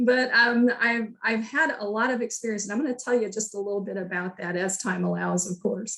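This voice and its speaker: Talking at a fairly quick pace, a woman with a fairly high pitch and ordinary pitch variation is heard over noticeable background noise. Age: 60s. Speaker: health information management program director. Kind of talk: career talk presentation. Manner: hesitant, many fillers.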